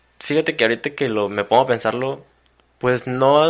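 A man talks at a moderate pace with a medium pitch and ordinary pitch variation. The background is quiet. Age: 20s. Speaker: university student. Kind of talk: casual conversation.

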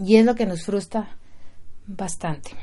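Dark and mellow in tone, the woman's voice sits at a fairly high pitch. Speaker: podcast host and mother. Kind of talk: casual monologue. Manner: halting, with repeated words.

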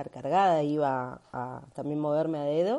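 A woman with a Rioplatense accent, very deep and low in pitch, in a dark, mellow tone with ordinary pitch variation over a quiet background. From Argentina, Buenos Aires. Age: 30s. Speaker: digital nomad, digital marketer. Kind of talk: recorded testimony.

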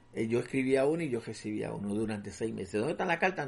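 With a normal speaking voice at a medium pitch, a man talks with lively intonation. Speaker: host's father. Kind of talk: interview storytelling.

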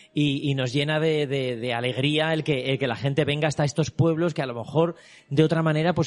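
Music plays in the background as a man with a fairly high pitch talks at a moderate pace with fairly even intonation. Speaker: artist and exhibition creator. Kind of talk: interview. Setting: exhibition venue with visitors.

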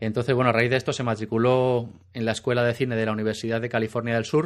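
A man speaks at a medium pitch over a quiet background. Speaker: podcast host. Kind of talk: casual chat.

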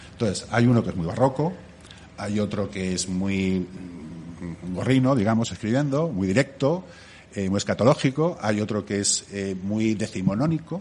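With lively intonation, a man in an unremarkable speaking voice talks fairly slowly at a fairly low pitch. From Catalonia. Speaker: bar owner. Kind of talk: interview. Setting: bar.

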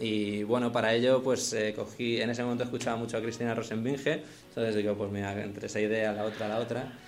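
The speech comes at a fairly quick pace in a monotone, flat intonation. Audible room echo and music in the background accompany it. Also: man. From Madrid, Spain. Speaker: singer-songwriter. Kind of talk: interview.

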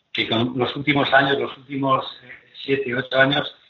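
A man talks at a fairly high pitch in a monotone, flat intonation. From Zaragoza, Spain. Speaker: former handball captain. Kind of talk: casual chat.

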